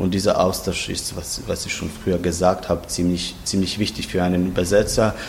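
Over noticeable background noise and audible room echo, a man with a very deep, low pitch speaks with hardly any pauses. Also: fairly even intonation. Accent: Croatian. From Croatia, Zagreb. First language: Croatian (speaking German). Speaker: literary translator. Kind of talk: interview. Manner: halting.

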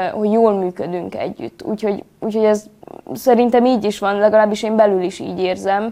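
The woman's voice sits at medium pitch with a dark, mellow tone. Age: 20s. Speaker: acting student. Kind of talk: interview.

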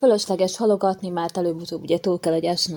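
A woman speaks at a fairly low pitch in a plain, everyday voice. Her intonation stays fairly even. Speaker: patient sharing her story. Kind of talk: personal testimony.

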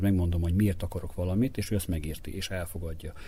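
A dark, mellow, somewhat breathy tone at a very fast pace. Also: man. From Vojvodina, Serbia (Topolya). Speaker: basketball coach. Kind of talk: interview.

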